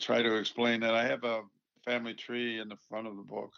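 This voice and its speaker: With an American accent, a man talks in a flat, monotone intonation. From US, Buffalo, New York. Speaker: engineer, inventor and author. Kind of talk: interview.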